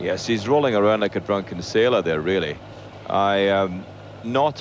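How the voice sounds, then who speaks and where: A man with a Scottish accent speaks at a fairly quick pace. Noticeable background noise runs behind him. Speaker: athletics commentator. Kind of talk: live commentary.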